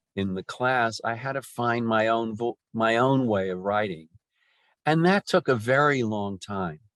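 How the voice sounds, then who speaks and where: The pace is fairly slow, with ordinary pitch variation. The sound is dry and close with no echo, over a quiet background. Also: man, medium pitch for a man. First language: Yiddish. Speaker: poet. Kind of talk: interview conversation. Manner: halting, many repetitions.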